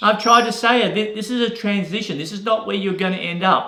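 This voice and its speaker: A man speaks in a raised, projected voice at a fairly quick pace, with audible room echo and noticeable background noise. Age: 60s. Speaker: real estate agent and business coach. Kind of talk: motivational talk. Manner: casual, repeats words.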